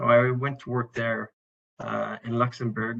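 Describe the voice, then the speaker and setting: At a moderate pace, a man speaks with a French Canadian accent at a medium pitch. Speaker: internal auditor. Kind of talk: presentation. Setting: online event.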